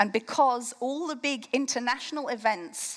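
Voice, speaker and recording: Lively intonation from a woman with an English accent, high in pitch, at a fairly slow pace. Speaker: campaign co-founder. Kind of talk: keynote speech. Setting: stage with audience.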